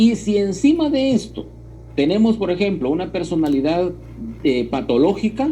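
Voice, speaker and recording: In a room with audible echo, a high-voiced man talks at a moderate pace, his pitch swinging very widely. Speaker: university lecturer. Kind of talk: lecture. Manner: emphatic; halting, with filler words.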